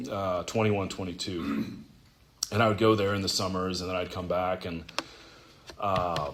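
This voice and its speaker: The speaker has an American accent and a moderate pace, broken by long, frequent pauses. Intonation is fairly even, and room echo is audible. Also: man, very deep, low pitch for a man. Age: 30s. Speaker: recovering alcoholic speaker. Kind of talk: testimony. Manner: halting.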